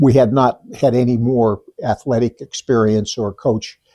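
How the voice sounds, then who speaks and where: A man speaks at medium pitch with a dark, mellow tone and a somewhat breathy quality. The sound is dry and close with no echo, over a quiet background. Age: 70s. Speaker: high school lacrosse coach. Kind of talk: interview. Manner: halting, with many restarts.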